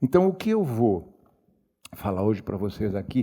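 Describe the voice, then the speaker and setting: A man's dark, mellow voice at a fairly slow pace. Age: 80s+. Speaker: writer. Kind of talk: public talk. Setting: library auditorium with audience.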